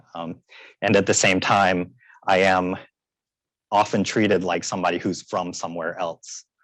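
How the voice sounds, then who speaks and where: A man speaks in an American accent with a very deep, low pitch and flat, monotone intonation. He leaves long, frequent pauses. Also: moderate pace, quiet background. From US South, West Columbia, South Carolina. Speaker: panelist. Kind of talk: panel discussion. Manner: halting.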